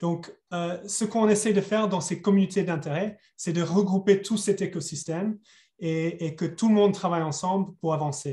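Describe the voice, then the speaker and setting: This man has a high-pitched voice with a dark, mellow tone. He keeps a moderate pace and fairly even intonation. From England. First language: English (speaking French). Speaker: webinar facilitator. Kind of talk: webinar introduction. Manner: hesitant, many repetitions.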